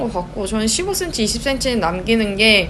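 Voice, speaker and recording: Over noticeable background noise and audible room echo, a woman's fairly high voice moves through very wide pitch swings. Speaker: knitting and craft YouTuber. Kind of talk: tutorial. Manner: casual, chatty.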